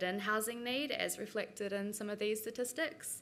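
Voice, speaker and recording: Speaking with a New Zealand accent, a woman has a fairly high, bright and sharp voice. Her intonation is fairly even, and she talks at a fairly quick pace. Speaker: researcher. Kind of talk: conference presentation.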